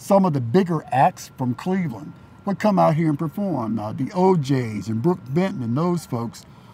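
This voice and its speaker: With an American accent, a man in a normal speaking voice talks at a moderate pace with lively intonation. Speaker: longtime resident interviewee. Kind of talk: documentary interview.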